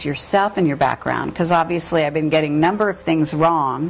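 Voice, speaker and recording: Music plays behind a woman speaking at a fairly quick pace. Her voice is fairly low, with ordinary pitch variation. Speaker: interviewer. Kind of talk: interview. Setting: video interview. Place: home room.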